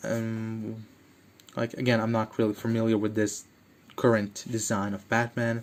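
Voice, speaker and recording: The man speaks at a very slow pace. His intonation is monotone and flat. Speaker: toy reviewer. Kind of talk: casual review. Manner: halting with many fillers.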